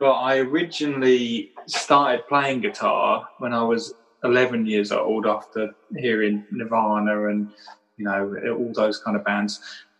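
Music plays in the background. A man speaks fairly slowly at a medium pitch. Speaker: musician. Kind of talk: casual interview.

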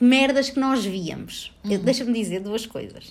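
The delivery has an animated tone and a fairly slow pace. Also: woman. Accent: European Portuguese. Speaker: podcast host. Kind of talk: casual chat. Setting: at home. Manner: animated, frequent laughter.

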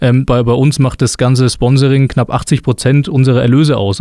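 A man's medium-pitched voice, dark and mellow in tone, at a fairly quick pace. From Lower Franconia, Germany (near Würzburg). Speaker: sports club marketing and sales manager. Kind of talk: casual interview. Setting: studio.

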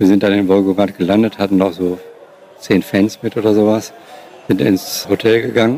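A man's fairly low voice, dark and mellow in tone, at a moderate pace with fairly even intonation. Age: 50s. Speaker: former radio sports reporter. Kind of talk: interview recollection.

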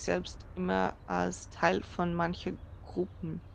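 A woman's voice with a Dutch accent. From Netherlands. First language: Dutch (speaking German). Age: 20s. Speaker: user experience researcher. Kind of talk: casual chat.

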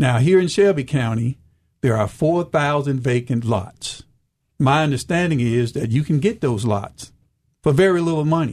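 A man with a fairly high pitch talks at a moderate pace with lively intonation. He sounds somewhat breathy. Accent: Southern US. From US South, rural eastern Arkansas. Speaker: retired agriculture official, farming entrepreneur. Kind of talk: radio interview.

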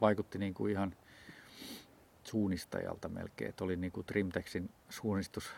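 Fairly even intonation with long, frequent pauses. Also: man. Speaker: ultrarunner. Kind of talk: casual chat. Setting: outdoors.

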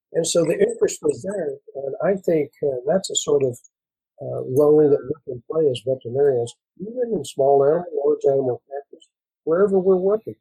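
A man with an American accent, fairly high in pitch with a dark, mellow tone, ordinary pitch variation, a fairly quick pace and a dry, close sound with no echo. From West Texas, Mexican border. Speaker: veterinary professor. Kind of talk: panel discussion.

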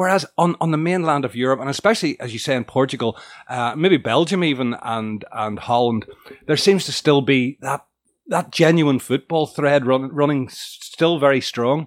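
A man with an unremarkable speaking voice, fairly high in pitch, with ordinary pitch variation, a moderate pace and a dry, close sound with no echo. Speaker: podcast host. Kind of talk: casual interview chat.

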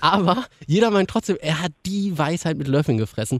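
A man with lively intonation, dry and close with no echo, on a very clean recording with a silent background. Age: 30s. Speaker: radio podcast host. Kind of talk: casual chat.

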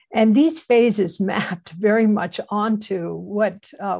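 Somewhat breathy, dark and mellow tones from a woman at a very slow pace. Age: 70s. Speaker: Zen teacher and anthropologist. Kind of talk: panel talk. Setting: video call. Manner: halting.

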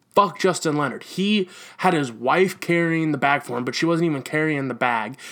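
In a very clean recording with a silent background, a man with an ordinary speaking voice talks at a moderate pace, his fairly high pitch showing ordinary pitch variation. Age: 20s. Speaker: sports podcast host. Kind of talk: casual sports talk monologue.

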